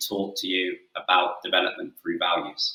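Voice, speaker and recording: Speaking at a moderate pace, a man has an English accent. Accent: English-sounding. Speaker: football coach. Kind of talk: webinar presentation; interview answer.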